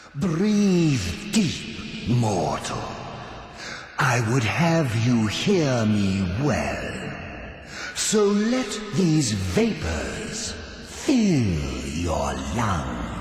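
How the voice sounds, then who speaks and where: A man in a put-on character voice at medium pitch speaks very slowly, with clear echo and clear background noise. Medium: voice reel. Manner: slow, commanding.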